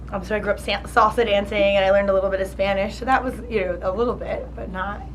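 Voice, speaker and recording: A woman speaks very fast with a New Jersey accent. Noticeable background noise and audible room echo fill the recording. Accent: New Jersey American. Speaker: charity founder. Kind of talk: interview. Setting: college luncheon. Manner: halting, many fillers and restarts.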